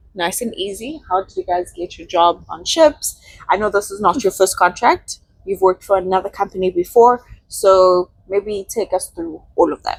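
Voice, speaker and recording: A woman speaks at a medium pitch. The sound is dry and close, with no echo. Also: ordinary pitch variation, moderate pace, big swings in loudness. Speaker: channel host, interviewer. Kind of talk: interview. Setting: aboard a cruise ship. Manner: loud.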